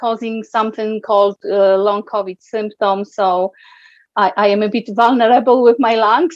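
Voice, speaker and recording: With a Polish accent, a woman speaks at a moderate pace in a fairly high pitch. The sound is dry and close, with no echo. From Poland. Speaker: guest interviewee. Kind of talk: interview. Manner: halting.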